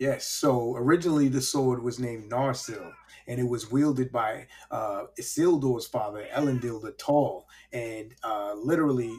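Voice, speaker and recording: A man speaks in a New York accent at a medium pitch. His pace is moderate. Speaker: podcast host. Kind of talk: casual chat. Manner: animated.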